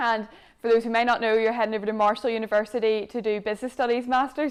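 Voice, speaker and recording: In a Northern Irish accent, a woman rattles along at a very fast pace, her fairly high pitch monotone and flat. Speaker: sports show host. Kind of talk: interview.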